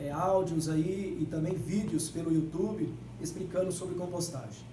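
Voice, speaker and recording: A man speaks at a high pitch and a moderate pace. Audible room echo and noticeable background noise surround his voice. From Brazilian Northeast. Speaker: agroecologist workshop instructor. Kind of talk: workshop talk. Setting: library event with live audience. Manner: emphatic, repeats key words.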